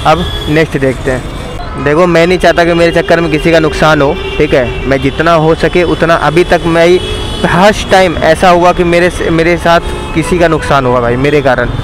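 A high-pitched man speaks at a moderate pace with fairly even intonation and very even loudness, the sound dry with no echo over noticeable background noise. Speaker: bike taxi rider vlogger. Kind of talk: casual vlog chat. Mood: rueful after small accident. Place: motorbike.

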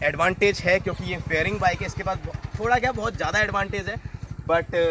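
A man with a high-pitched voice talks at a moderate pace, the sound dry with no echo and light background noise. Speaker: motorcycle vlogger. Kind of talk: casual vlog chat. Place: street. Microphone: phone near.

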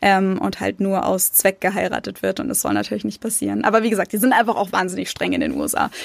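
A woman's very fast speech with hardly any pauses. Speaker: YouTuber and emigrant. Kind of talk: casual interview chat.

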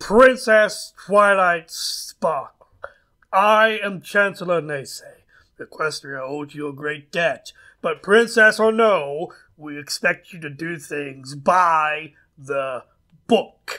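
Very slow delivery with lively intonation and big swings in loudness. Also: man, high pitch for a man. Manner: formal, disapproving.

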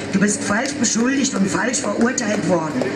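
A woman talks over loud background noise. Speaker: speaker. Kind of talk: reading a public statement. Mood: solemn, determined. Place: street.

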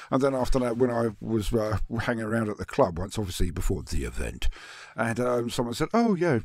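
Talking very fast, a man uses lively intonation with vocal fry. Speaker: YouTuber. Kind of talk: casual chat. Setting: video call.

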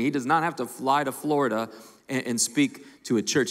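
Against a quiet background, a man speaks. His pace is moderate. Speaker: lead pastor. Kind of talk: sermon-style introduction. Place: stage. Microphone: handheld.

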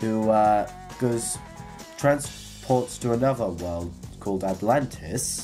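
Clear music plays in the background as a man speaks at a fairly low pitch. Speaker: vlogger. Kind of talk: casual vlog chat. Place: home room. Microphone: webcam.

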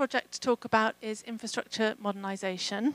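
A woman speaks in a fairly high voice, with dry sound and no echo. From England. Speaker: program manager; conference presenter. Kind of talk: conference talk. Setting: stage with audience. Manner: hesitant with fillers. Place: hall. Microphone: handheld.

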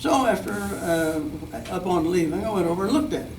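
In a room with audible echo, a man speaks with lively intonation at a fairly high pitch. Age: 90s. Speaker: community member addressing school board. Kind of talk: public comment at meeting. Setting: school board meeting podium. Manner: halting.

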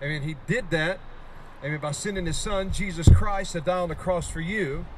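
A man at a moderate pace with ordinary pitch variation, over noticeable background noise. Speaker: street preacher. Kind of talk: street preaching sermon. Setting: outdoors on a college campus. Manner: fervent, emphatic. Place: street. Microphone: handheld.

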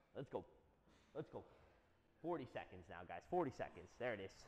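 Light background noise runs under the recording. The man speaking keeps a moderate pace. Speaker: fitness coach. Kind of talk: workout instruction. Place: gym. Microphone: lapel.

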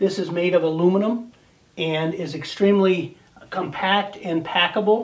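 High-pitched and at a fairly slow pace, a man talks. His intonation stays fairly even. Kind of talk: product demonstration.

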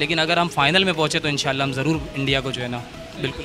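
With faint background music, the man's intonation stays fairly even. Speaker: interviewee. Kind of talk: interview answer. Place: home room. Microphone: handheld.

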